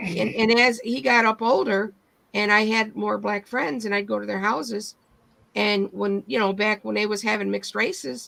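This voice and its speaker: A woman with an American accent has an unremarkable speaking voice, at medium pitch and a moderate pace with ordinary pitch variation. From Michigan. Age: 60s. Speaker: livestream host. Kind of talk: casual chat.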